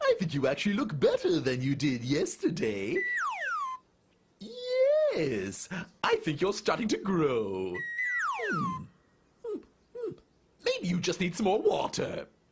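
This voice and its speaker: A man performs a cartoonish character voice. He goes at a fairly slow pace with long, frequent pauses. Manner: fussy, self-absorbed muttering.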